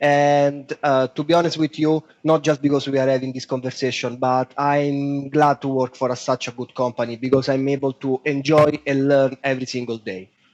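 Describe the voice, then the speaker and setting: A man with a strong Italian accent speaks at a moderate pace with hardly any pauses, his pitch fairly high. The intonation is monotone and flat, and the sound is dry and close with no echo. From Italy, Rome. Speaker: web designer. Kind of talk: podcast interview.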